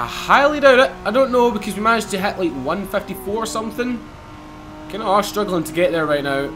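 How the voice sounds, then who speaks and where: A man with a strong Scottish accent, high pitch, lively intonation and a very fast pace, over noticeable background noise. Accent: Scottish, strong enough that viewers struggle. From Scotland, Glasgow. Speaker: gaming YouTuber. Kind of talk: gameplay commentary. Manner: animated.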